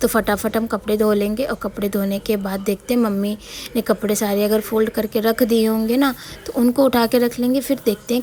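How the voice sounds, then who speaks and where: A woman speaks in a monotone, flat way over noticeable background noise. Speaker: home vlogger, housewife and mother. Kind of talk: casual vlog narration.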